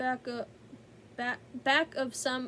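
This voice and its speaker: A woman puts on a high-pitched character voice and drawls. Background noise is clearly audible. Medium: read story. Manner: folksy, drawling.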